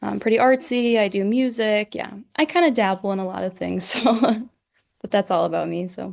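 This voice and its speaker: A woman speaks in a Midwestern American accent at a medium pitch. Her pace is moderate and her pitch varies in an ordinary way. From Northwest Indiana. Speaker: student. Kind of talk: casual chat.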